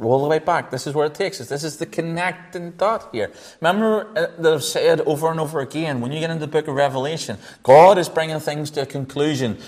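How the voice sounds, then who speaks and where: Talking fairly quickly, a man with a Northern Irish accent uses a fairly high pitch and ordinary pitch variation. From Northern Ireland. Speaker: Bible teacher. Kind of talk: sermon. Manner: hesitant, repeats words.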